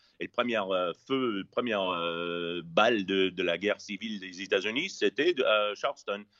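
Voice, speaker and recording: With an English accent, a man talks at a fairly slow pace with ordinary pitch variation. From US West Coast, Los Angeles. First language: English (speaking French). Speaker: chef. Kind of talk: casual interview. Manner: halting, many repetitions.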